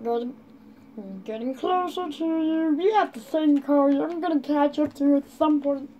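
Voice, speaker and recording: A woman does a put-on character voice, pitched high. Light background noise sits under her. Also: moderate pace. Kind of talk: amateur comic acting. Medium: machinima. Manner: shouting, taunting, petulant.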